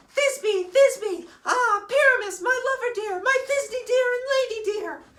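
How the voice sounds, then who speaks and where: This is a put-on character voice at a fairly slow pace. There is a slight echo. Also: female-sounding voice, extremely high pitch for a woman. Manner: melodramatic, exaggerated.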